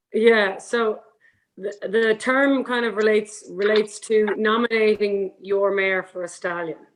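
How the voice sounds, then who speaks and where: Her pitch is fairly high and her pace fairly slow. The woman speaks with an Irish accent and fairly even intonation. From Ireland, Galway area. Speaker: horse breeding professional. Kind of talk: panel discussion. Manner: hesitant, many fillers.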